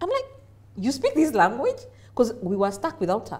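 A woman with a Kenyan accent speaks in a somewhat breathy voice. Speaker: business executive. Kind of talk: interview. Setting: studio. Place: studio. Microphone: lapel.

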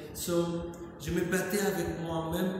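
Amid strong room echo and noticeable background noise, a man with an American accent talks at a very slow pace. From United States (New York). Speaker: painter, street artist. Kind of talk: interview about his art. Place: hall. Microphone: camera far.

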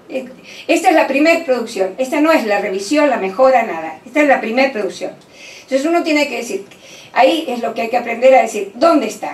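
The speech runs at a fairly quick pace with very wide pitch swings, and audible room echo surrounds it. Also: woman, high pitch for a woman. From Argentina. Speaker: university professor and education lecturer; university professor, education lecturer. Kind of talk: lecture. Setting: conference hall with audience. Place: meeting room. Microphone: camera far.

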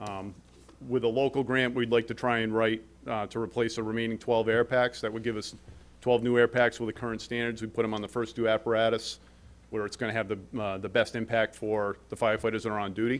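Flat and monotone, a man speaks at a very fast pace. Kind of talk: presentation to a board. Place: meeting room. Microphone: podium.

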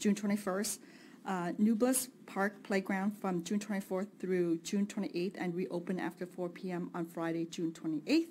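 A woman at a fairly slow pace, with ordinary pitch variation and light background noise. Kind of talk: meeting report. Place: hall. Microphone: podium.

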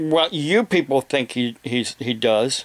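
The speaker has an American accent. The background is quiet. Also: man. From Ohio, US. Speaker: evangelist preacher and video blogger. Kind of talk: angry rant, indignant and scolding, aimed at online trolls who harass his family. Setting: home, talking to camera with a kitten and police scanner nearby. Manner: halting, filler-filled, self-interrupting; indignant, raised and confrontational during the rant. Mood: aggrieved in parts. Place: home room. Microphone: webcam.

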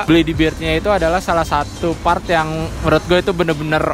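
With loud music in the background and a dry sound with no echo, a man talks at a very fast pace. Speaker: vlogger. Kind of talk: casual vlog chat. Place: workshop. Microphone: phone near.

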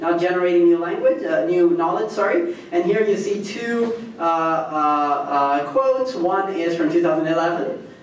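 Speech comes at a fairly slow pace with very even loudness and ordinary pitch variation, over light background noise and audible room echo. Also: man, high pitch for a man. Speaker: guest lecturer, history professor. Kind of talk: lecture. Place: hall.

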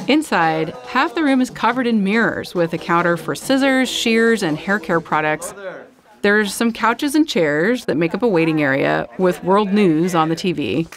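Music sounds in the background. Over it, a woman's pitch swings very widely. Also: moderate pace. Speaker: podcast host, reporter. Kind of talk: narrated radio story.

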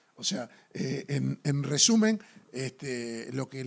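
Medium in pitch, a man speaks with a Uruguayan accent. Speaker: sports TV show host. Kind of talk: TV sports talk show. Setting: studio. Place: studio. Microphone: studio mic.

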